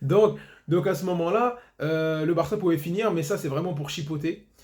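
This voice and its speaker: A man's voice with ordinary pitch variation comes through over noticeable background noise. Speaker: football YouTuber. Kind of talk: match debrief monologue. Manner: fast.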